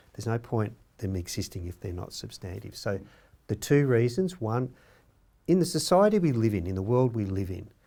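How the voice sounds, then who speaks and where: A man with an Australian accent talks at a fairly quick pace, his medium-pitched voice dark and mellow in tone with very wide pitch swings. The recording is very clean, with a silent background. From Australia, rural Victoria (Victoria-NSW border). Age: 60s. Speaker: Stolen Generations survivor and advocate. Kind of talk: panel discussion.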